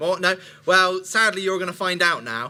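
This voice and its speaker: A man's high-pitched voice, bright and sharp in tone, at a moderate pace. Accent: West Country. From Somerset, England. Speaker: speaker. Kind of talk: talk to a live audience. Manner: hesitant, many fillers.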